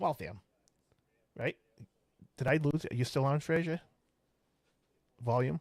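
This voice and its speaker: The recording has a dry, close sound with no echo. A man with a Boston accent speaks with ordinary pitch variation. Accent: Boston, drops R's. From Boston, Massachusetts. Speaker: podcast host. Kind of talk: casual chat.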